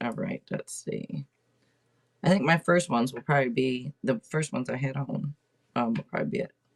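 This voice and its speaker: In an American accent, a woman with a very deep, low pitch speaks at a fairly quick pace with very wide pitch swings, in a dry, close sound with no echo. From Seattle, Washington. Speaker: tarot reader and podcast host. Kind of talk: casual livestream chat. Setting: livestream at home. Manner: loud; chatty, rambling with fillers.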